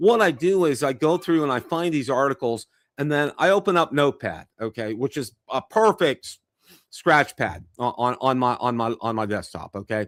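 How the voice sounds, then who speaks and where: On a very clean recording with a silent background and a dry, close sound with no echo, a man with a fairly high voice talks at a moderate pace, his pitch swinging very widely. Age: 60s. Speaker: drone reviewer and live stream host. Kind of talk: live stream casual chat. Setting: live stream. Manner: halting, many fillers and restarts.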